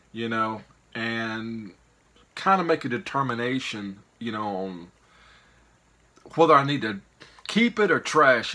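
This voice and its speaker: Slowly, with long, frequent pauses, a man with a Mississippi accent speaks at a medium pitch in a bright, sharp tone, with lively intonation and big swings in loudness. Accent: Southern US (Mississippi). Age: 50s. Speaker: YouTuber, reseller of picked goods. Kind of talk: casual vlog monologue. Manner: rambling, hesitant with fillers.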